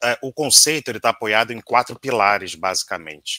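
A man speaks at a moderate pace in a bright, sharp tone. The sound is dry with no echo, and the background is quiet. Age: 40s. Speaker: auditor. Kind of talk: interview. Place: home room.

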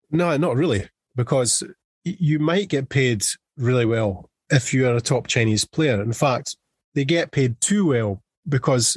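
This man speaks at a fairly slow pace with a strong Scottish accent, medium pitch, lively intonation, very even loudness and a somewhat breathy voice, in a dry, close recording with no echo and a quiet background. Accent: thick Scottish. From Scotland. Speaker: football journalist. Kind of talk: podcast interview answer.

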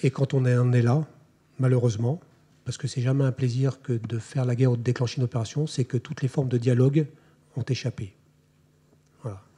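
A man's medium-pitched, somewhat breathy voice with a dark, mellow tone, fairly even intonation, a fairly quick pace and long, frequent pauses. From France. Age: 40s. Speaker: army officer. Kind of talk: lecture. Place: hall. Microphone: podium.

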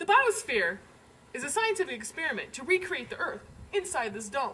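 With a raised, projected voice, a woman speaks in very wide pitch swings. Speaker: comic tour host. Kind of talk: comedic mock-documentary monologue. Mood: sarcastic, playful.

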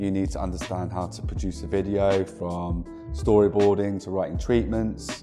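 Clear music plays in the background as the speaker talks at a moderate pace with ordinary pitch variation. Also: man. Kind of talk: interview answer. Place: office. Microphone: lapel.

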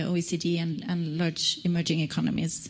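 The speaker is a woman. There is some breathiness to her voice. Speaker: climate and energy program manager. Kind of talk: research presentation. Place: stage. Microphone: handheld.

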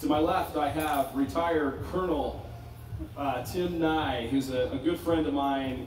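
A man talks with ordinary pitch variation, with audible room echo and noticeable background noise around him. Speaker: panel moderator. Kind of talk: panel discussion. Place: tent.

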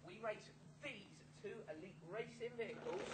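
There is noticeable background noise as a man speaks in an upbeat tone. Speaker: children's TV presenter auditionee. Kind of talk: children's TV presenter double-act audition. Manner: upbeat, cheeky. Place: street. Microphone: camera far.

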